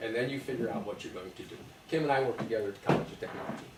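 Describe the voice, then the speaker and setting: Over noticeable background noise and audible room echo, a man talks in a fairly high voice. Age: 70s. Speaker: presenter at aviation club meeting. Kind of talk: talk with slides. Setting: club meeting with audience. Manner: halting, many fillers.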